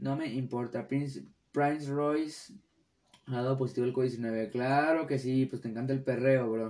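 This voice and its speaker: Fairly even in intonation, a man talks at a moderate pace in a dark, mellow tone. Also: medium pitch for a man. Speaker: podcast host. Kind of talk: casual solo podcast.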